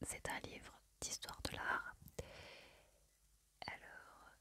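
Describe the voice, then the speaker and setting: Whispering at a very slow pace, a woman speaks in a calm tone. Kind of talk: ASMR whispered book haul, casual talk to camera. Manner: whispered, soft-spoken, calm.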